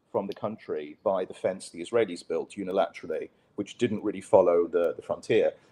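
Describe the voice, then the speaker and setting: Speaking in a British accent, a man talks at a fairly quick pace. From British expat, raised mostly abroad. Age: 50s. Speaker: writer and former journalist. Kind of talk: casual interview. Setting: live online show.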